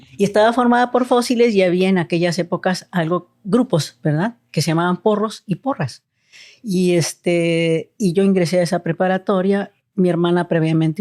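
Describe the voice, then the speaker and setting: A woman with a dark, mellow tone and fairly low pitch speaks at a moderate pace, her loudness very even and her pitch variation ordinary, in a dry, close sound with no echo on a very clean recording with a silent background. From Mexico City. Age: 60s. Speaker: family doctor. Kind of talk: interview.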